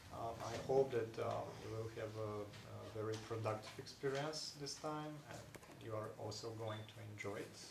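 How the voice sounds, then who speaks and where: A man speaks at a fairly slow pace with fairly even intonation. Noticeable background noise sits behind him. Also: medium pitch for a man, hardly any pauses. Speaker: academic researcher; organiser or lecturer. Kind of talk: speech.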